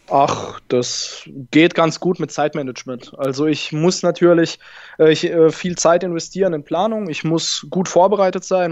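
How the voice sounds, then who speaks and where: Talking at a fairly slow pace, a man with a high pitch uses ordinary pitch variation. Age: 20s. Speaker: bank advisor. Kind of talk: interview.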